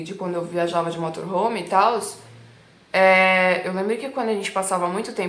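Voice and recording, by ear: A woman with a São Paulo accent speaks at a fairly quick pace. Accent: São Paulo Brazilian Portuguese.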